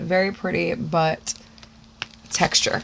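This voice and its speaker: A woman speaks in an American accent. Background noise is noticeable. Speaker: beauty YouTuber. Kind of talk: unboxing video, casual chat. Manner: long-winded, breathy speech.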